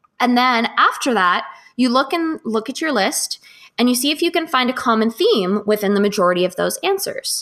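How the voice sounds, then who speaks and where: An animated tone in a Californian accent, with very wide pitch swings at a moderate pace and music in the background. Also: woman, high pitch for a woman. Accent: General American, Californian. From US West Coast, Los Angeles. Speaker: wellness activist and writer. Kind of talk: interview.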